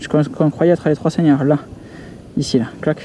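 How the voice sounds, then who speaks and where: A man's fairly high voice with a dark, mellow tone. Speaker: hiking vlogger. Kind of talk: outdoor vlog narration. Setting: outdoors on mountain trail. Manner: casual, interjection-filled; soft-spoken.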